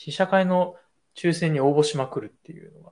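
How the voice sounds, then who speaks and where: This man has a fairly high pitch and a somewhat breathy voice, talking at a fairly quick pace. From Tokyo. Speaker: designer and video creator. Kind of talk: casual chat.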